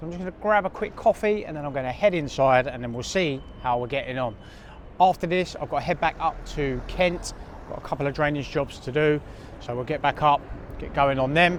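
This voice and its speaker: A man speaks with a southern English accent. His pace is fairly quick, and his pitch variation is ordinary. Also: fairly high pitch for a man. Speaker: cleaning business owner and vlogger. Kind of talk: vlog to camera.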